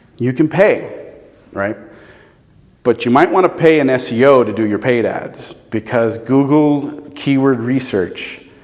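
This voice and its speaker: Noticeable background noise behind a man's speech with ordinary pitch variation. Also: medium pitch for a man, fairly slow pace. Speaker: SEO consultant and presenter. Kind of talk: presentation with audience Q&A.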